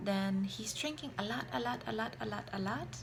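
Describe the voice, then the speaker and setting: Her voice carries audible room echo and noticeable background noise. The woman speaks fairly slowly. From Germany. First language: German. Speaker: vlogger, mother. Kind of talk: casual vlog talk.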